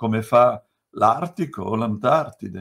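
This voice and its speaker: A man, very slow, with very wide pitch swings, over a quiet background. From Bergamo, Lombardy, northern Italy. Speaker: author and left-wing activist. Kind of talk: book presentation talk. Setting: video call. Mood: earnest, at times emotional. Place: home room. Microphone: video call.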